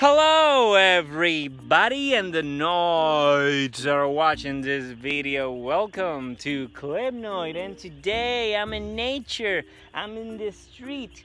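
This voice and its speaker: The voice is bright and sharp, speaking very slowly with very wide pitch swings and big swings in loudness. There is light background noise, and the sound is dry with no echo. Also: man, high pitch for a man. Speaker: vlogger. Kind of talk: casual vlog chat. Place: street. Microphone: phone near.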